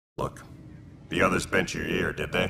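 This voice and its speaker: A man's put-on character voice at a moderate pace. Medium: video game. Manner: casual, easygoing.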